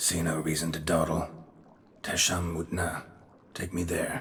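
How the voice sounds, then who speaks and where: A man puts on a character voice pitched very deep and low. He delivers it deadpan, monotone and flat, at a moderate pace. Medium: video game. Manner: terse, clipped, deadpan.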